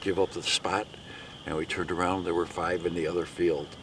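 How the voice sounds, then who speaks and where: Noticeable background noise surrounds a man speaking at a fairly quick pace. His very deep, low pitch stays monotone and flat. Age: 60s. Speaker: turkey hunter. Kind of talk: casual interview.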